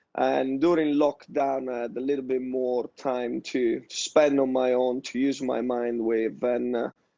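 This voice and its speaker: Speaking fairly slowly in an Italian accent, a man with a dark, mellow tone keeps a monotone, flat intonation. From Italy. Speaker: tech startup founder, ex-professional basketball player. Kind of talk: panel discussion.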